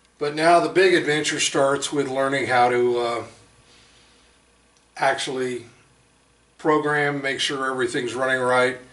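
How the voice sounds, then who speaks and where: At a fairly slow pace with long, frequent pauses, a man with a fairly high pitch speaks amid audible room echo. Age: 60s. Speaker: hobbyist machinist. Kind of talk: casual demonstration video. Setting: home workshop. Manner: halting, many fillers.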